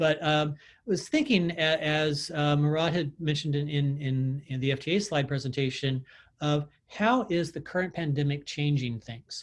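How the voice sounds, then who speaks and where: A man's somewhat breathy voice, fairly high in pitch, moves with ordinary pitch variation. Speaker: transit technical assistance presenter. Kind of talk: webinar presentation. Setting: video call. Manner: fast.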